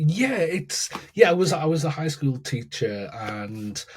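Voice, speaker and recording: A man speaks with a northern English accent and a somewhat breathy voice. His intonation is lively. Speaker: educator and keynote speaker. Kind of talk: podcast interview. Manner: halting, many repetitions.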